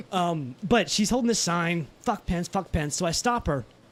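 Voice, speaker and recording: Animated in tone, a man speaks in a high pitch. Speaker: podcast host. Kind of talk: casual chat. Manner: fast.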